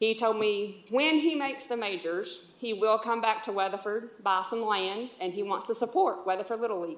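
A woman with a Texas accent speaks at a fairly high pitch and a moderate pace, with ordinary pitch variation and hardly any pauses. Audible room echo and noticeable background noise surround her voice. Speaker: youth league volunteer. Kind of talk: public comment at council meeting. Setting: city council chamber. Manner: loud.

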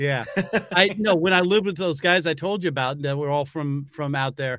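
Over a quiet background, a man speaks in a bright, sharp tone with ordinary pitch variation. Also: fairly quick pace. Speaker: show host. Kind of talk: casual interview talk. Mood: laughing, playful. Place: home room.

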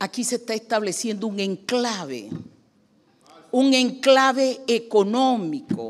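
A woman with a Panamanian accent speaks at a very slow pace. Her pitch is fairly high, with ordinary pitch variation. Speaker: economist and presidential candidate. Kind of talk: public hearing testimony. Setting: legislative committee hearing. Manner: formal.

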